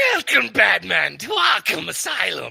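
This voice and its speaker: In a put-on character voice, a man growls with a raspy sound. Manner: growling.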